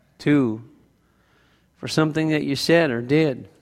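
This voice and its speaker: In a room with audible echo, a man speaks at a moderate pace with a fairly high pitch and ordinary pitch variation. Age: 50s. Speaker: pastor. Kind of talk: sermon.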